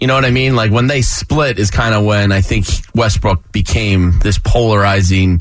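Speaking at a moderate pace, a man with a fairly low voice is heard with audible room echo. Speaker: sports radio host. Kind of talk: casual chat. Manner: laughing often.

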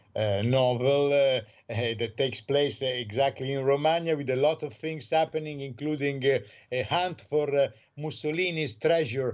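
A man with an Italian accent at medium pitch and moderate pace. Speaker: newspaper correspondent. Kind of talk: radio interview. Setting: phone call.

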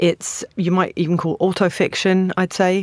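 A woman with a southern English accent speaks fairly slowly at a fairly low pitch on a very clean recording with a silent background. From England, Stevenage. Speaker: literary translator. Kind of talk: interview.

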